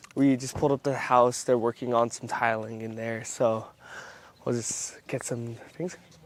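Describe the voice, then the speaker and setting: Moderate pace and monotone, flat intonation. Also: man, medium pitch for a man. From Hawaii. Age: 20s. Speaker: realtor and entrepreneur. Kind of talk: casual vlog.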